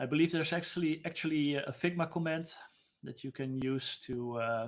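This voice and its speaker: A man's pitch shifts in an ordinary way. He talks at a fairly slow pace. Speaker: UX designer; presenter. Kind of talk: live-stream tutorial. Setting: live stream. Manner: casual, unscripted. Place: home room.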